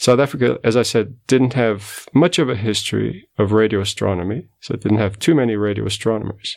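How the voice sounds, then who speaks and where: A man's fairly low pitch with vocal fry and ordinary pitch variation, fairly quick pace, hardly any pauses. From Portugal. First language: Portuguese. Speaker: radio astronomer. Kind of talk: interview.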